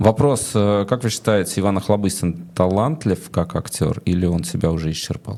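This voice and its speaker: A man's fairly low, ordinary speaking voice at a moderate pace, with lively intonation and hardly any pauses. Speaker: interviewer host. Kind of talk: interview conversation. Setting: studio.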